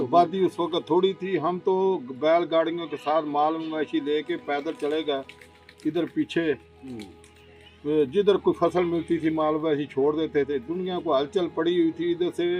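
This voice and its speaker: Music plays in the background as a man speaks in a fairly high pitch with fairly even intonation. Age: 80s+. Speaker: village elder recalling the 1965 war. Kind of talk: interview answer.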